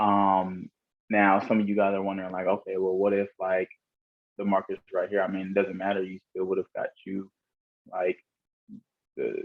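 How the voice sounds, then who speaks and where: At a moderate pace, a man speaks in a fairly low, monotone, flat voice. He leaves long, frequent pauses. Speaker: forex trading educator. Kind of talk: tutorial. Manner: casual, filler-heavy.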